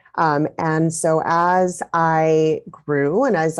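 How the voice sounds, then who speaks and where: A woman's voice sits very deep and low in pitch, with ordinary pitch variation. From US, Mexican-American family. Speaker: parent coach. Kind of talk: interview.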